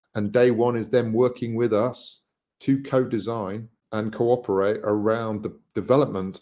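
A man with a British accent at a medium pitch and moderate pace, on a very clean recording with a silent background. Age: 50s. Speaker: social impact entrepreneur. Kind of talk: interview.

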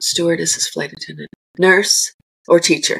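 Here a woman talks. She keeps a moderate pace. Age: 60s. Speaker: composting educator and business owner. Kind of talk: casual interview chat. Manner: animated.

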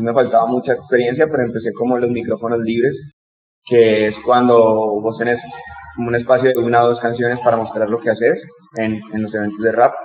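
Speaking in a monotone, flat intonation, a man keeps a medium pitch and a fairly quick pace. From Colombia, Bogotá. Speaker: rapper and educator. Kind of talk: interview.

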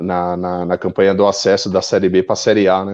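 A man with a fairly low pitch and a dark, mellow tone. The background is quiet. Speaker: football fan. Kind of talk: casual chat.

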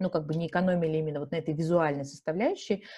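With a dark, mellow tone, a woman speaks at a fairly low pitch, somewhat breathy, with ordinary pitch variation. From Russia, Yekaterinburg (Urals). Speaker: marketing executive, entrepreneur. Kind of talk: interview.

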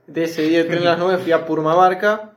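Here a man talks at a high pitch. His pace is moderate. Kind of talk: casual chat. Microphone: phone recording.

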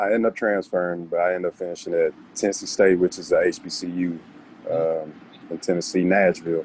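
A man's very deep, low voice with an American accent, monotone and flat, at a fairly quick pace. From Texas, Dallas. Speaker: football player. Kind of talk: interview.

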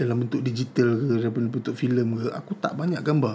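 A man's medium-pitched voice, very fast, with ordinary pitch variation. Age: 40s. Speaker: tech podcast host. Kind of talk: casual solo podcast monologue. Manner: casual, with frequent fillers.

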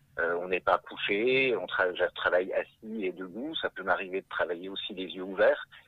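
Speaking at a fairly slow pace is a man. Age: 30s. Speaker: hypnotherapist. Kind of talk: interview.

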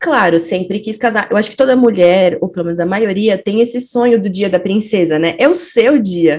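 A woman's unremarkable speaking voice, moderate in pace, with lively intonation. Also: medium pitch for a woman, hardly any pauses. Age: 30s. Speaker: psychologist and stay-at-home mother. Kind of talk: casual chat.

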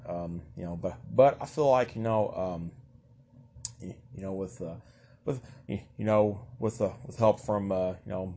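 A man with a fairly low pitch speaks in a Southern US accent. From Kentucky, US South. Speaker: solo podcaster. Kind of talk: casual monologue. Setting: home recording. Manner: stutters, halting with many fillers; nervous laughter.

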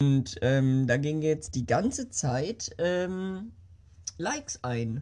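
The voice has a dark, mellow tone and moves very slowly through very wide pitch swings. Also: woman, very deep, low pitch for a woman. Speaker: podcast host. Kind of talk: casual monologue. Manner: animated. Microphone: new small microphone.

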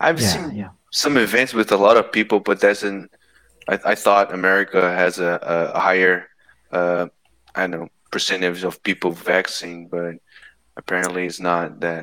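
The voice has a bright, sharp tone and a Portuguese accent. It moves at a moderate pace with fairly even intonation. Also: man, very deep, low pitch for a man. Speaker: podcast host. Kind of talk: interview.

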